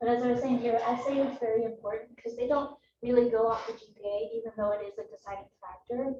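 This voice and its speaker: Soft-spoken and somewhat breathy, a woman with a fairly high yet dark, mellow voice talks very fast with fairly even intonation. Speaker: meteorology student. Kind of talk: student presentation. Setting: classroom with Zoom stream.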